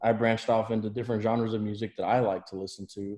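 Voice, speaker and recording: In a quiet background, a man with a medium-pitched, dark, mellow voice speaks very fast in a monotone, flat way. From South Texas. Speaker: high school football coach. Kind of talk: podcast interview.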